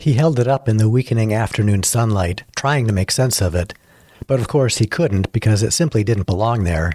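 Reading done in an unforced voice

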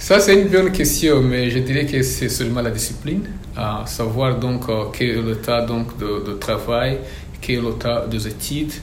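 With noticeable background noise and audible room echo, a man at medium pitch talks at a fairly slow pace with lively intonation. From DR Congo. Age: young. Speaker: student and refugee agency worker. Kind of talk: interview.

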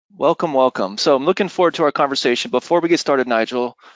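This man talks very fast, his medium pitch moving with ordinary variation. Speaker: webinar host. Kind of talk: webinar interview. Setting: live webinar.

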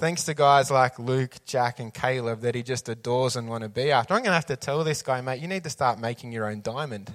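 A medium-pitched man talks fairly quickly with hardly any pauses and ordinary pitch variation on a very clean recording with a silent background. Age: 30s. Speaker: youth leader and preacher. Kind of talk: sermon.

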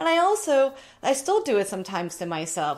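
At a moderate pace, a woman is talking. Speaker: style coach video host. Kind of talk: direct-to-camera advice talk. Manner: loud; animated.

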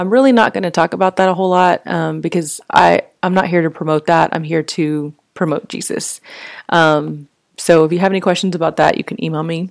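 In a normal speaking voice with an American accent, a woman talks at a fairly quick pace with ordinary pitch variation on a very clean recording with a silent background. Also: fairly low pitch for a woman. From Texas, Fort Worth. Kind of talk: casual faith talk monologue. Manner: conversational with frequent fillers.

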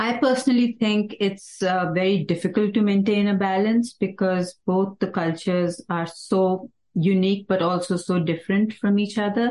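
A woman at medium pitch speaks in a dark, mellow tone with very even loudness, fairly even intonation and hardly any pauses. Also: moderate pace. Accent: Indian. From India, Nainital district (Uttarakhand). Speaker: medical business office worker. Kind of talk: casual chat. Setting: in-person group conversation.

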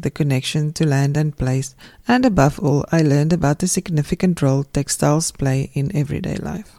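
Speaking at a fairly quick pace with hardly any pauses, a woman with a South African accent has a dark, mellow tone and a very deep, low pitch. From South Africa, Pretoria. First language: Afrikaans. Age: 50s. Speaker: textile writer and podcast host. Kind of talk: scripted narration.

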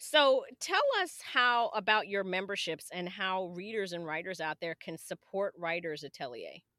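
A woman with an ordinary speaking voice talks at a medium pitch and a moderate pace, with lively intonation and hardly any pauses. The sound is dry and close, with no echo. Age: 50s. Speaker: podcast host and author. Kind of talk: casual interview; scripted introduction.

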